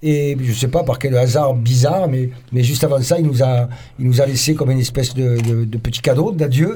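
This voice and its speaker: A man talks at a fairly quick pace and a medium pitch. His tone is dark, mellow, and somewhat breathy. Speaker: radio host and band member. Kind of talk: casual live radio chat. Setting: radio studio. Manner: animated.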